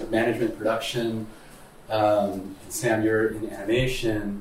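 A man is speaking. Background noise is noticeable. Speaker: podcast host. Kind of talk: casual interview chat.

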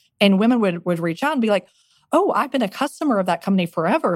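A woman with an American accent talks very fast at a medium pitch, her pitch swinging very widely, in a dry, close recording with no echo. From Texas Panhandle. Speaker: venture capitalist. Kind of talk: interview.

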